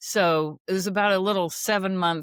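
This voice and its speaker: An ordinary speaking voice moves at a moderate pace with ordinary pitch variation, in a dry, close sound with no echo on a very clean recording with a silent background. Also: woman. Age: 60s. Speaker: author and natural health teacher. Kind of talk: interview conversation.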